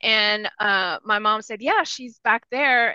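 Against a quiet background, a woman's medium-pitched voice with a bright, sharp tone and ordinary pitch variation sounds dry and close with no echo. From rural Texas, Spanish-speaking household. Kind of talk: personal life story in interview.

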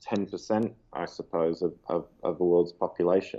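A man with an Australian accent, talking at a moderate pace. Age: 20s. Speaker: global poverty advocate. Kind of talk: interview. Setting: call.

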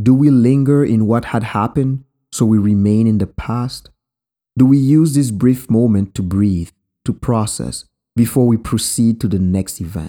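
A man with a Haitian accent speaks at a moderate pace and medium pitch, with ordinary pitch variation. His dark, mellow tone comes through a very clean recording with a silent background. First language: Haitian Creole. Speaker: podcast host. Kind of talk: reflective storytelling narration.

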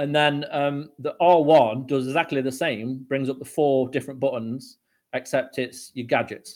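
At a moderate pace and with fairly even intonation, this is an ordinary speaking voice. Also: man, fairly high pitch for a man. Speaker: podcast guest, games fan. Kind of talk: casual chat.

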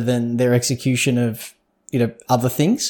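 Recorded very cleanly over a silent background, a man with a medium pitch speaks at a moderate pace in an Australian accent. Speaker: podcast co-host. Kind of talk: casual chat.

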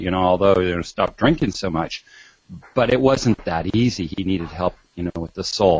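With ordinary pitch variation, an unremarkable speaking voice proceeds at a moderate pace. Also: man. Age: 50s. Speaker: doctor and author. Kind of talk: interview.

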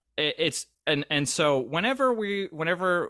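A man speaks with lively intonation. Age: 30s. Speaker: podcast host. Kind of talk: casual chat interview. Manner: hesitant, filler-heavy.

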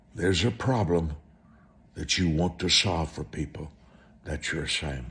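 A man's very deep, low voice with vocal fry and long, frequent pauses. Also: lively intonation, moderate pace. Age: 70s. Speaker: televangelist preacher. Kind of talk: sermon.

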